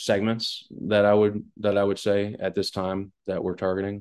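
With an American accent, a man speaks in an unremarkable speaking voice, fairly low in pitch and at a moderate pace. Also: quiet background. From West Long Branch, New Jersey. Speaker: food company founder and CEO. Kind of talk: interview. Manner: casual.

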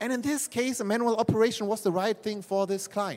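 At a fairly quick pace, a man speaks with a German accent. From Germany. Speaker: management consultant. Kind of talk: trade fair presentation. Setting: stage with small audience at trade fair. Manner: hesitant, filler-heavy.

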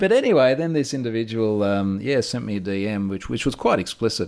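An Australian accent with ordinary pitch variation. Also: man. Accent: Australian, audible. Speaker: security researcher. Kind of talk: interview conversation.

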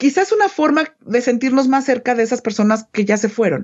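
A woman with a fairly high voice talks at a fairly quick pace, her pitch swinging very widely. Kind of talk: casual explanation.

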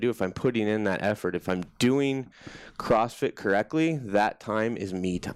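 With an American accent, a man in an unremarkable speaking voice talks at a moderate pace, his fairly low pitch showing ordinary variation. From US Midwest (Des Moines, Iowa). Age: 30s. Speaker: army veteran. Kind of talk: personal testimony in interview.

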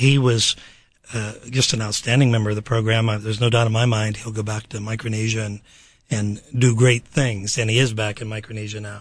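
A man with an American accent speaks at a fairly quick pace with a medium pitch. His voice is somewhat breathy and his intonation is monotone and flat. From Pittsburgh, Pennsylvania. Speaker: university program director. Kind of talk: radio interview. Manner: halting.

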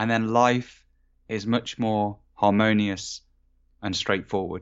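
Speaking at a very slow pace, a man with an English accent has a medium pitch. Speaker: meditation coach and author. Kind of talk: interview. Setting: remote call.

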